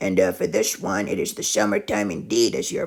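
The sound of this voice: A man with a high pitch speaks at a moderate pace, his raspy voice showing vocal fry, a slightly husky edge and lively intonation.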